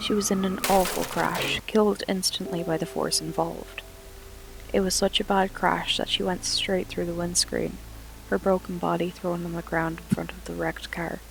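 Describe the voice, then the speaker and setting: The speaker keeps a moderate pace while music sounds in the background. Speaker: paranormal storyteller. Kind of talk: paranormal story narration.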